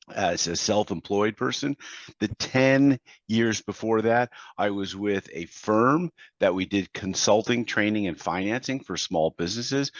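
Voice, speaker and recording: In a normal speaking voice, a man with fairly low pitch talks at a fairly slow pace with ordinary pitch variation. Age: 60s. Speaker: business consultant and coach. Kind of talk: podcast interview.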